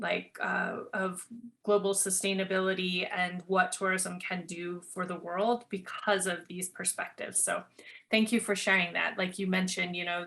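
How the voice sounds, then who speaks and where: Speaking at a moderate pace with an American accent, a woman has a bright, sharp tone and monotone, flat intonation. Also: medium pitch for a woman. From Montana, US. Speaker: podcast host. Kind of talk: interview.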